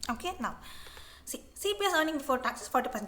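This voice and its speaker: A woman's very fast speech with lively intonation amid noticeable background noise. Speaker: online tutor. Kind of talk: tutorial. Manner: halting.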